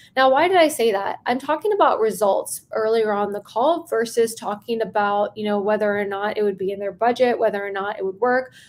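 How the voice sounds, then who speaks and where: Speaking at a fairly quick pace with hardly any pauses, a woman uses a fairly high pitch and ordinary pitch variation. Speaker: sales coach. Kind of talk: live stream training. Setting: live stream. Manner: fast; animated.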